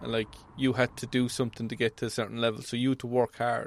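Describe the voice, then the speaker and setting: This man talks at a very fast pace. He has an Irish accent. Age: 40s. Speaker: welding inspector. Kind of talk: casual chat. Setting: mobile studio.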